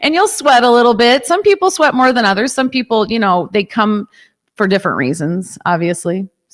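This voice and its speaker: Fairly high-pitched woman with a Chicago accent, very wide pitch swings and a fairly quick pace. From US Midwest, Chicago suburbs. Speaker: yoga and fitness studio owner. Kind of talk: casual interview.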